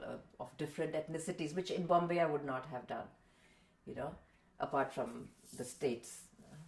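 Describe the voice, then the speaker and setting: With fairly even intonation and vocal fry, a woman speaks in a very deep, low pitch. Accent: Indian. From India, Mumbai. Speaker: voice-over artist and translator. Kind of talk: interview. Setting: home.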